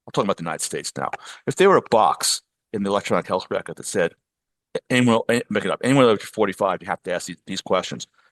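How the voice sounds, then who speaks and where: A man speaks at a very fast pace with an American accent. The sound is dry and close with no echo, and the background is quiet. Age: 70s. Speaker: physician and sex tech founder. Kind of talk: podcast interview. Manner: halting, many repetitions.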